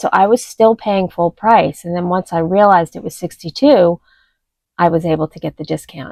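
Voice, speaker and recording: A woman talks at a fairly quick pace in a dark, mellow tone. The sound is dry and close, with no echo. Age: 60s. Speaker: lifestyle vlogger. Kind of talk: casual vlog talk to camera. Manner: conversational with hesitations.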